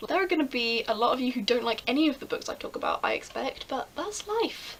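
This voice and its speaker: There is noticeable background noise as a woman with an English accent talks at a moderate pace. Her high voice has very wide pitch swings. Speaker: book vlogger. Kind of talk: casual vlog. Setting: bedroom at night. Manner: animated.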